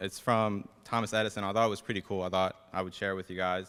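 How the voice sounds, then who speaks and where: The voice belongs to a man. It has a bright, sharp tone. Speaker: dental student. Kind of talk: speech.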